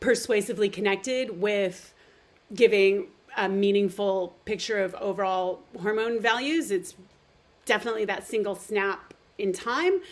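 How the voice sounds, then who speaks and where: A woman talks at a moderate pace with ordinary pitch variation. She has an ordinary speaking voice, fairly high in pitch. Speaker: nutrition therapist. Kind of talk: webinar presentation.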